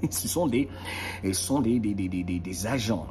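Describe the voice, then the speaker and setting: The speech is fairly slow with lively intonation, and there is audible room echo and noticeable background noise. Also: man. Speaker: motivational video host. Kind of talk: motivational monologue. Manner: animated.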